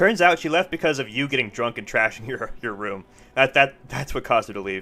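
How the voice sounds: Reading delivered in a natural voice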